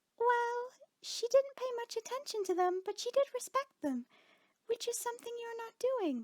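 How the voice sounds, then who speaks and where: A squeaky put-on character voice, raised and projected. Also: female-sounding voice, extremely high pitch for a woman, moderate pace. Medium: read story. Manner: earnest, gentle, proper.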